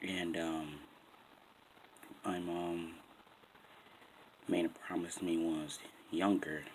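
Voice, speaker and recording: A quiet, very deep, low male voice with an American accent, monotone and flat, at a very slow pace with long, frequent pauses and audible room echo. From Boston, Massachusetts. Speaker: vlogger. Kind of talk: casual vlog talk. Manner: quiet, keeping voice down.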